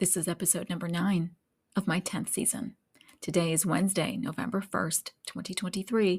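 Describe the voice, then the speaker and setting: Her voice is somewhat breathy and medium in pitch. This woman speaks with fairly even intonation. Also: moderate pace. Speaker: podcast host, medical coding consultant. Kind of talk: podcast intro. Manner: soft-spoken.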